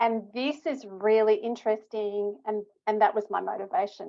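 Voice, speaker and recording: A woman with an Australian accent speaks at a moderate pace. Her pitch is fairly high, with ordinary variation. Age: 60s. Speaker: stroke rehabilitation researcher. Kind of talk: interview.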